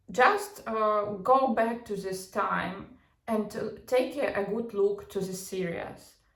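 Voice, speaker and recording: With a non-native accent, a woman talks at a very slow pace in a fairly high voice with fairly even intonation, and the room echo is audible. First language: not English. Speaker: psychology and pop culture commentator. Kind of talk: casual commentary monologue. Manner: halting, many fillers and false starts.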